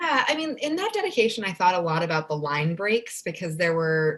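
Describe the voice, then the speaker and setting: A woman is speaking. Her pace is fairly quick. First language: Spanish. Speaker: children's book author. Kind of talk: casual interview.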